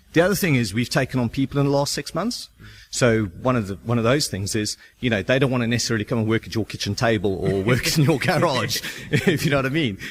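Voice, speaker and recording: A man talks at a very fast pace. He has a South African accent. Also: medium pitch for a man, lively intonation. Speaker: start-up founder. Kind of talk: radio interview. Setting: on location at shared office.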